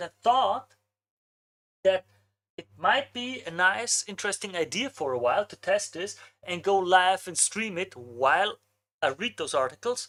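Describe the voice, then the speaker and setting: A woman with an Austrian accent, a medium pitch and lively intonation. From Austria, Vienna. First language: German. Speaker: marketing agency owner, streamer. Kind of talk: live stream casual talk. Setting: live stream.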